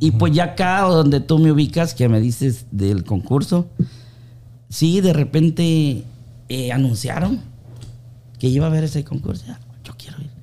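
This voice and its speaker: A man with a dark, mellow, somewhat breathy tone speaks with lively intonation, long, frequent pauses, and big swings in loudness. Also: fairly high pitch for a man, moderate pace. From Honduras, Olanchito. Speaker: baker and amateur singer. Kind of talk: casual interview chat.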